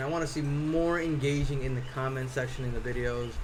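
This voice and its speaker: A man speaks with an American accent at a moderate pace. Room echo is audible. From US Northeast (Connecticut). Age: 40s. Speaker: cosplay prop maker and streamer. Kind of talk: live stream chat. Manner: casual, many fillers and repeats.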